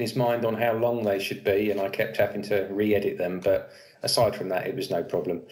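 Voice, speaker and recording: With a quiet background behind it, the talking proceeds fairly quickly. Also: man. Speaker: interviewee. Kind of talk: interview answer. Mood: relaxed, friendly. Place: home room. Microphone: webcam.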